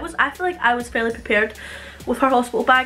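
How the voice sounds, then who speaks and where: A woman's bright, sharp voice with a Scottish accent. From Scotland. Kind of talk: casual talk to camera. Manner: chatty, informal.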